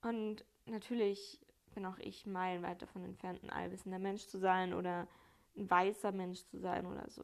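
A woman speaks in an ordinary speaking voice at a moderate pace with fairly even intonation. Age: 20s. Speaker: solo podcaster. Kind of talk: casual monologue.

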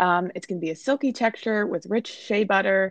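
In an American accent, a woman with an ordinary speaking voice talks at a medium pitch and a moderate pace, her intonation lively. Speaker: sales and marketing team member. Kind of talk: casual podcast chat.

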